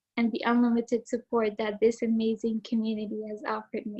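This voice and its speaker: A woman with an Arabic accent speaks at a moderate pace. Her fairly high voice stays monotone, with flat intonation. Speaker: student speaker, valedictorian. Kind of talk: prepared speech. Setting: video call.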